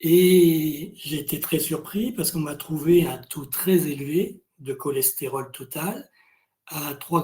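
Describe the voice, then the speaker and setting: Moving at a very slow pace, a man's fairly high voice has a dark, mellow tone and ordinary pitch variation. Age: 60s. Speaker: patient giving testimony. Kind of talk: testimony. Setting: video webinar.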